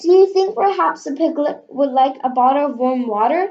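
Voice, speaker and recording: A woman performs a put-on character voice at a high pitch with lively intonation. She moves at a moderate pace. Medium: read story. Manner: gentle, eager.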